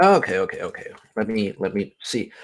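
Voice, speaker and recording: A man speaks with a slight Dutch accent. His pace is fairly slow. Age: 20s. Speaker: audiobook narrator. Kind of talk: casual chat.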